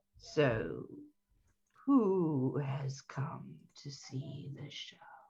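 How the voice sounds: In a put-on character voice, raspy and gravelly at a low-to-middle pitch, the speaker goes at a very slow pace.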